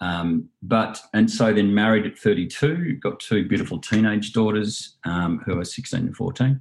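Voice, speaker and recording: With an Australian accent, a man speaks at a fairly slow pace and hardly any pauses. His pitch is fairly low, with ordinary variation. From Australia, New South Wales Southern Highlands. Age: 40s. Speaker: meditation teacher. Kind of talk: interview. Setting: video call.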